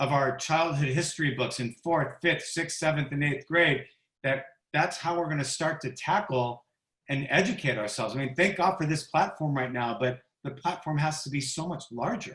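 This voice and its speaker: This man has an ordinary speaking voice, showing ordinary pitch variation and keeping a moderate pace. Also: fairly high pitch for a man. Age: 50s. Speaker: tennis broadcaster and co-moderator. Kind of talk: panel discussion.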